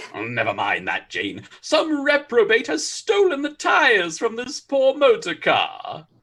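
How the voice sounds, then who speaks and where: Using a put-on character voice pitched extremely high, a man talks at a fairly slow pace with hardly any pauses. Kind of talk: comic overacting. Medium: audio drama. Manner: excitable, florid exclamations.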